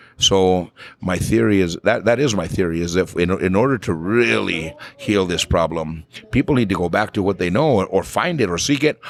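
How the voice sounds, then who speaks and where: A man talks at a moderate pace in a very deep, low voice, with lively intonation and an animated tone. Noticeable background noise runs underneath. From northern New Mexico. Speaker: flamenco vocalist and music teacher. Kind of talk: casual chat. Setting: coffee shop.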